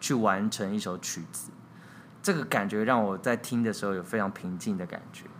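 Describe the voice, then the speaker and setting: In an ordinary speaking voice, a man keeps to a moderate tempo. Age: 30s. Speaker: theatre director and playwright. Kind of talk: interview.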